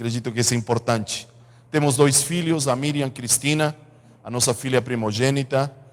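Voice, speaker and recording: With fairly even intonation, a man talks at a moderate speed. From Chile. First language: Spanish (speaking Portuguese). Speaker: pastor. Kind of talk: sermon. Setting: church.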